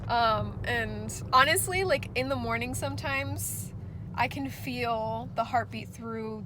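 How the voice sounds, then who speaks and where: A woman is heard speaking with audible room echo. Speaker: vlogger. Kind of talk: casual vlog. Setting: in a car; doctor's office.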